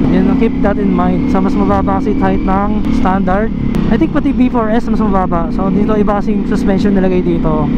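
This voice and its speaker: At a fairly quick pace, the speech comes through noticeable background noise. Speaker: motorcycle vlogger. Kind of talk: motovlog ride commentary. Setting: riding a motorcycle outdoors. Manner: loud, shouting over wind.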